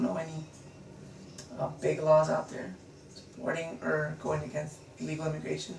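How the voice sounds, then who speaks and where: A man talks at a moderate tempo, with audible room echo and noticeable background noise. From United States, Mexican-American family. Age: 20s. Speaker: interviewee. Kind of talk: interview. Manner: halting, many fillers.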